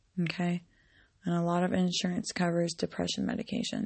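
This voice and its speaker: A woman with a medium-pitched, somewhat breathy voice talks at a moderate pace. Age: 20s. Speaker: podcaster. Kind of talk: personal monologue. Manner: monotone; hesitant, many ums.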